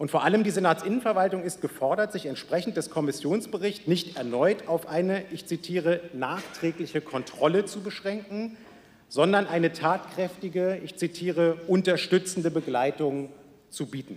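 A man speaks with a high pitch and ordinary pitch variation. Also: moderate pace. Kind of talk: parliamentary speech. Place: hall. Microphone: podium.

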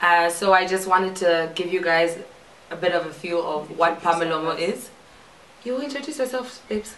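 Amid audible room echo, a woman speaks at a fairly low pitch with ordinary pitch variation. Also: moderate pace. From Zambia. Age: young. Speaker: podcast host. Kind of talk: casual talk to camera.

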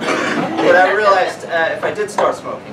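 There is loud background noise. A man's voice comes through it. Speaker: stand-up comedian. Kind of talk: stand-up comedy set with self-deprecating jokes and absurd bits. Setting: live comedy venue with laughing audience. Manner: animated, shifting into mock voices and pitch-man patter. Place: bar. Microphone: camera far.

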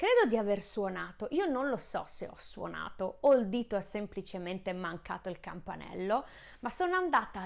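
Over a quiet background, the speaker moves at a moderate pace with very wide pitch swings. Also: woman. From Friuli, Italy. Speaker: baking YouTuber and pastry chef; baking channel host. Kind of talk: casual vlog to camera. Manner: hesitant, many fillers. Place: kitchen. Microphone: lapel.

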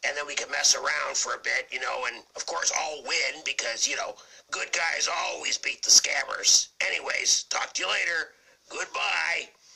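A raspy man's voice comes through. The pace is moderate. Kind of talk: comic parody of a TV western. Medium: comedy sketch. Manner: swaggering, blustery, goofy.

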